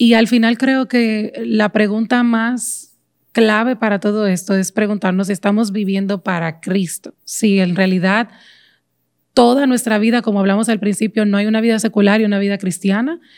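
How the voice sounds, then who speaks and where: Heard in a very clean recording against a silent background, a woman with a fairly high pitch speaks at a moderate pace with fairly even intonation in a plain, everyday voice. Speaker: podcast host. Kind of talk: casual chat.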